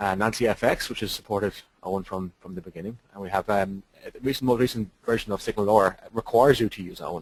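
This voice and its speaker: A man with an Irish accent talks at a very fast pace, with a fairly low pitch and fairly even intonation. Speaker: software developer. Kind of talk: webinar presentation. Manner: hesitant, many fillers.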